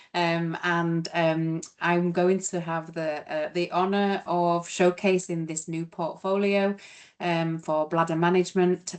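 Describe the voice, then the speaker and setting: Speaking at a fairly slow pace, a woman with a British accent has a fairly low pitch. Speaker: clinical educator. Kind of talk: product presentation. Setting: virtual webinar.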